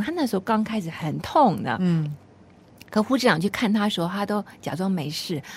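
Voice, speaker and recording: Somewhat breathy and fairly quick, a woman at a medium pitch makes very wide pitch swings. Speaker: radio host. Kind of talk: radio interview.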